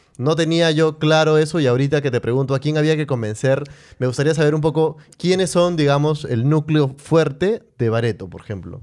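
A man with a normal speaking voice talks at a fairly quick pace and a fairly high pitch. His pitch variation is ordinary, and the background is quiet. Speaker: podcast host. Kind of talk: casual chat.

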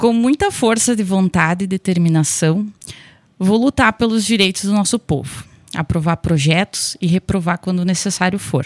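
Recorded very cleanly against a silent background, the sound is dry and close with no echo. A woman with an unremarkable speaking voice talks at a moderate pace and medium pitch, with ordinary pitch variation and very even loudness. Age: 30s. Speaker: local election candidate, nursing technician. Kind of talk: radio interview, prepared campaign statement. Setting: radio studio.

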